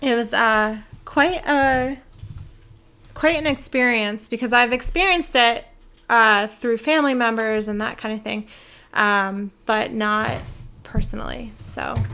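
Recorded very cleanly against a silent background, a woman with a bright, sharp tone and fairly high pitch talks at a fairly slow pace, with ordinary pitch variation and long, frequent pauses. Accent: American. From South Jersey, US. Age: 30s. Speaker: photographer and networking group founder. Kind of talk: casual interview chat.

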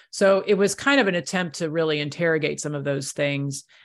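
A woman speaks in a very deep, low voice with ordinary pitch variation. The background is quiet. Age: 50s. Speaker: pastor and author. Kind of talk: casual chat.

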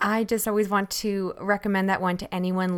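At a fairly quick pace, a woman speaks in a plain, everyday voice at medium pitch, on a very clean recording with a silent background. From Canada. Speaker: podcast host. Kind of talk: casual interview.

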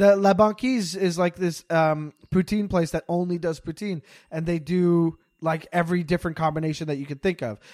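A man speaks in a Montreal accent at a high pitch with ordinary pitch variation. His moderate pace comes through in a dry, close sound with no echo. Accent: Montreal English, Canadian. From Montreal, Quebec. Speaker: comedian. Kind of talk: casual chat. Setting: video call from parents' basement.

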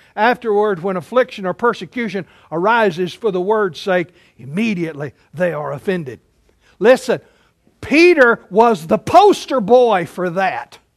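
Against a quiet background, a man with a high pitch speaks at a moderate pace using lively intonation. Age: 60s. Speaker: preacher. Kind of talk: sermon. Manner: animated.

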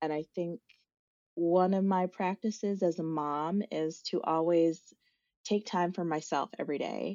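In an American accent, a woman with a plain, everyday voice speaks fairly slowly at fairly low pitch, keeping her intonation fairly even. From US Midwest, South Dakota. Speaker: nature educator and founder. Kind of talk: podcast interview.

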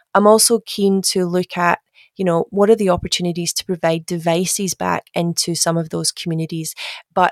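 A woman speaks at a moderate pace with fairly even intonation and a fairly low pitch. The sound is dry and close, with no echo. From Glasgow. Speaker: government digital executive. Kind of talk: interview.

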